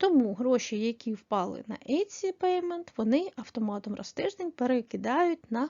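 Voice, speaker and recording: A woman with a high pitch talks using lively intonation. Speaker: online selling tutorial creator. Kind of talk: tutorial.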